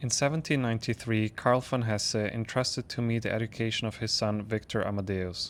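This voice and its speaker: Speaking with a non-native accent, a man uses a medium pitch, fairly even intonation, and a fairly quick pace with hardly any pauses, on a very clean recording with a silent background. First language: not English. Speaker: spiritual content creator. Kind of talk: reading aloud. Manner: occasional self-corrections.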